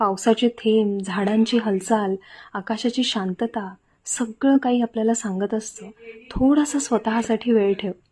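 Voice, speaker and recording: A soft-spoken woman talks with fairly even intonation in a dark, mellow tone that is somewhat breathy. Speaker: vlogger. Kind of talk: vlog voiceover.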